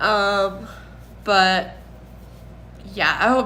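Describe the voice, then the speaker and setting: In a room with audible echo, a woman talks in a flat, monotone way. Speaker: recovering addict sharing personal story. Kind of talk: personal testimony vlog.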